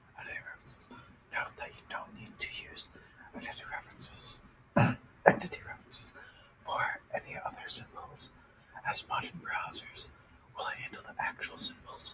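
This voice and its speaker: Someone is whispering. Noticeable background noise sits underneath. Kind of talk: ASMR coding tutorial, reading documentation aloud. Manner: soft-spoken, whispering.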